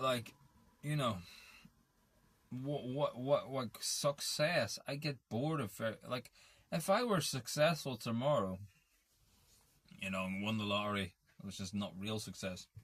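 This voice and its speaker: A man with an Irish accent speaks at a fairly slow pace, with medium pitch and lively intonation. He leaves long, frequent pauses, and the recording is very clean with a silent background. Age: 30s. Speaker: vlogger. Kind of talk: casual monologue. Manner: halting.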